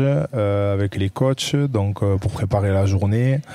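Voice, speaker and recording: Speaking with a southwestern French accent, the man has a fairly low pitch and a dark, mellow tone. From southwest France. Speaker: professional rugby player. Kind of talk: podcast interview answer. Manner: hesitant, casual.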